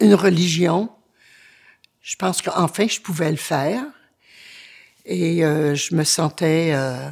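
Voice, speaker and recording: In a very clean recording with a silent background, a woman with a fairly low pitch, ordinary pitch variation and vocal fry talks at a very slow pace with long, frequent pauses. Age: 70s. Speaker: churchgoer giving faith testimony. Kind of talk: testimony. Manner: halting, many hesitations.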